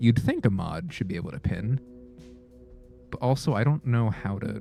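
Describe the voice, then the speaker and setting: Music plays in the background as a man talks at a moderate pace. His medium-pitched voice is breathy, with lively intonation. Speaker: streamer. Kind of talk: live gameplay stream commentary. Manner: casual, chatty with filler words.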